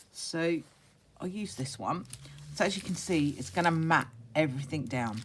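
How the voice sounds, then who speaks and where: With a very deep, low pitch, a woman speaks in a somewhat breathy voice, leaving long, frequent pauses. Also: moderate pace. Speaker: craft youtuber. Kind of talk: tutorial. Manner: casual, hesitant with fillers.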